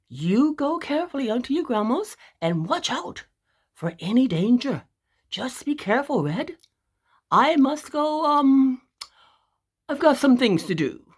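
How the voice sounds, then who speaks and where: A high-pitched, put-on character voice moves at a moderate pace. Long, frequent pauses break up the speech. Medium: read story. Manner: hesitant, fake friendly.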